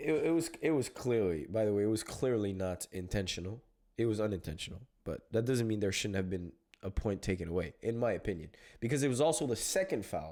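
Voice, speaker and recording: On a very clean recording with a silent background, a man with a dark, mellow tone talks at a fairly quick pace, his pitch swinging very widely. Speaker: combat sports commentator. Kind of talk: casual chat. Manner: nonchalant.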